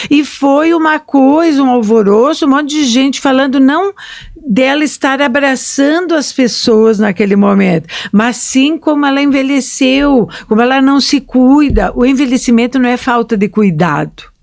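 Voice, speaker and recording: A woman with a high pitch talks at a moderate pace, showing ordinary pitch variation and very even loudness over noticeable background noise. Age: 60s. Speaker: historian and podcast host. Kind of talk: casual chat.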